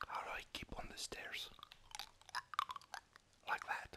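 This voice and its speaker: A man is whispering at a very slow pace. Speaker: gamer. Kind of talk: ASMR gaming commentary. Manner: whispered, soft-spoken.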